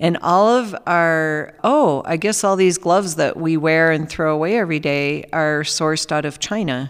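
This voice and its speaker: A woman with a normal speaking voice and an American accent, fairly low in pitch with ordinary pitch variation, at a moderate pace with hardly any pauses, on a very clean recording with a silent background. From Minnesota, rural farm. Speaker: hospital communications director. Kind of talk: casual interview.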